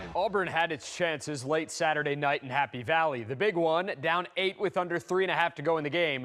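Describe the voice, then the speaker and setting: In a plain, everyday voice, a man at fairly high pitch speaks at a fairly quick pace with hardly any pauses, ordinary pitch variation, and very even loudness. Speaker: sports anchor and reporter. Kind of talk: TV sportscast read, energetic.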